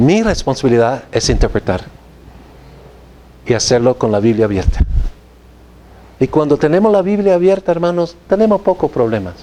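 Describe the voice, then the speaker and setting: The speaker moves at a moderate pace with very wide pitch swings. Long, frequent pauses break up the speech. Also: man, fairly high pitch for a man, very even loudness. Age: 60s. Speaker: theology professor. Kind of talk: lecture. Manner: halting.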